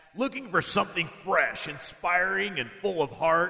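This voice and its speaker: A man puts on a gruff character voice pitched high. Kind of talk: radio ad, announcer. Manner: promotional, enthusiastic.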